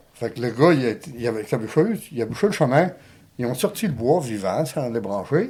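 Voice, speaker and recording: Music plays in the background as a man speaks with lively intonation. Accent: Quebec. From Abitibi, Quebec. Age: 70s. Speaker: lumberjack. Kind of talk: interview answer. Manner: casual, hesitant.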